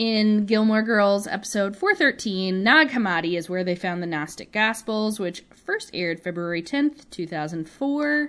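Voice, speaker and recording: Here is a woman with a plain, everyday voice at a medium pitch and lively intonation. Her pace is moderate, with hardly any pauses. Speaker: podcast co-host. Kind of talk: casual podcast chat. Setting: recorded remotely, not in the same room.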